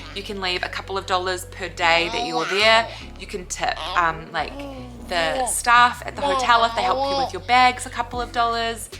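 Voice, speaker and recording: A woman's fairly high pitch and lively intonation at a moderate pace, with music in the background. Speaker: lifestyle vlogger. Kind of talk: casual Q&A chat.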